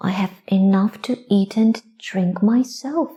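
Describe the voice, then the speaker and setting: Using a put-on character voice, a woman speaks at a medium pitch and a fairly slow pace. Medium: read story. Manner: calm, plain-spoken.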